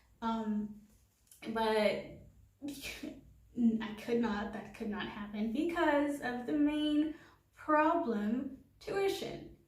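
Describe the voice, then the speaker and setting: A woman speaks very slowly in a high voice with lively intonation, taking long, frequent pauses while room echo is clearly audible. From Haiti. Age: 20s. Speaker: vlogger. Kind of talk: casual vlog monologue. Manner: casual with fillers.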